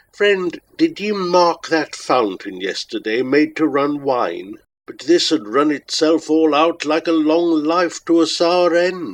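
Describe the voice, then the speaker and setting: Shrill and high-pitched, a man's put-on character voice moves at a fairly slow pace. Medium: read story. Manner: capering and mocking.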